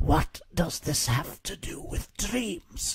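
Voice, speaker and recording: A man's raspy, put-on character voice, high-pitched and very slow. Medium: read story.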